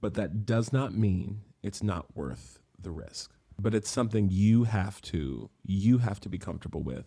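Somewhat breathy and dark, mellow in tone, the voice speaks with an American accent at a fairly slow pace. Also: man, fairly low pitch for a man, lively intonation. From West Virginia, Morgantown. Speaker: stage performer. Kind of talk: interview. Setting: remote call.

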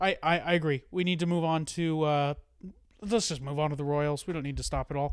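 Recorded very cleanly against a silent background, a man uses a normal speaking voice at a fairly high pitch, talking at a fairly quick pace with fairly even intonation. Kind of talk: casual sports podcast banter.

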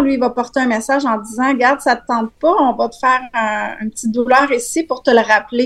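A woman's high-pitched voice with a Quebec accent and fairly even intonation. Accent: Québécois French. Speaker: wellness coach. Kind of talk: casual chat.

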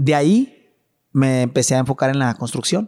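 A man's ordinary speaking voice at moderate pace with ordinary pitch variation, dry and close with no echo, in a very clean recording with a silent background. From Mexico, Chihuahua. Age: 30s. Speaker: businessman. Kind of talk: casual chat. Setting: at home.

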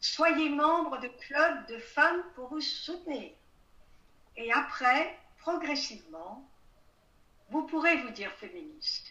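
A woman with a high pitch uses a raised, projected voice at a very slow pace, with long, frequent pauses. Her loudness swings widely, and room echo is audible. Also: ordinary pitch variation. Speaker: writer, historian and retired diplomat. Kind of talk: interview.

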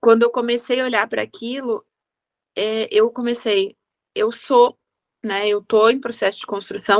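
This woman's pitch sits fairly high and her intonation stays fairly even. She speaks at a moderate pace. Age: 50s. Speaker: wedding decorator. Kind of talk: interview.

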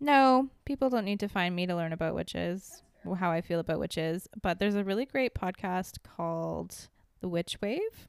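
In a very clean recording with a silent background, a woman uses a normal speaking voice at medium pitch, with lively intonation and a moderate pace. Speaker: guest, host's sister. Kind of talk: casual chat.

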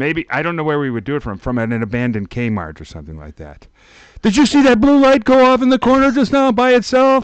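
The voice moves at a very fast pace with very wide pitch swings. Its loudness rises and falls in big swings. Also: man, high pitch for a man. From Chicago. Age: 50s. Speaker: TV podcast co-host. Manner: joking, self-deprecating.

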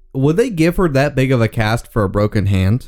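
A man speaks in a medium pitch at a fairly slow pace with an animated tone and very wide pitch swings. The recording is very clean with a silent background. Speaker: podcast host doing movie commentary. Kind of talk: casual movie commentary chat. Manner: loud.

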